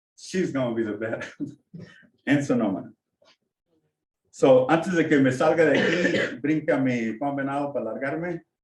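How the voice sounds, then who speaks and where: Speaking at a moderate pace with long, frequent pauses, the man has a fairly high pitch and ordinary pitch variation. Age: 60s. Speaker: artist and mentor. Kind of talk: casual talk at community meeting. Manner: halting, code-switching.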